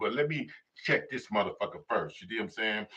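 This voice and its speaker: Bright and sharp, a man's voice carries an animated tone. His pitch varies in an ordinary way. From Chicago, US. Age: 60s. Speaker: YouTube commentator. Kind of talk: live stream monologue.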